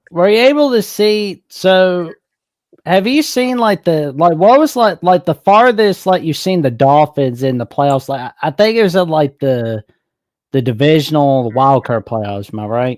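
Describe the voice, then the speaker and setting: With a Southern accent, a man talks at a moderate pace in a fairly high voice with very wide pitch swings, recorded dry and close with no echo. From US South, Alabama. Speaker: caller. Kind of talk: casual chat.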